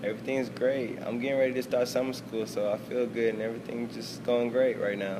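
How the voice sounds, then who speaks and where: Over noticeable background noise and audible room echo, a man talks fairly quickly with hardly any pauses in a flat monotone at a medium pitch. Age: 20s. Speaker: college student. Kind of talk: interview.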